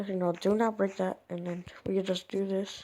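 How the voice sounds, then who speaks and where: A woman speaks quietly at a medium pitch. Her tone is dark and mellow, and her intonation is monotone and flat. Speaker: gaming video creator. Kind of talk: tutorial. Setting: at home at night.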